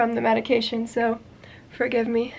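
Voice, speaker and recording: The voice belongs to a woman. She talks at a moderate speed. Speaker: crochet designer and video creator. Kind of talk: casual vlog chat. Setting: home yarn room, on camera. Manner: casual with fillers. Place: home room. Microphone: phone near.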